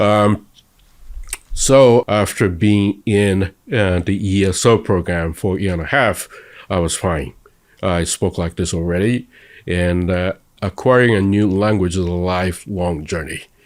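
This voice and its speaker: A man with a Japanese accent and a very deep, low pitch speaks with ordinary pitch variation on a very clean recording with a silent background. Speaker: interviewee, convert to Judaism. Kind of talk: interview. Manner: halting.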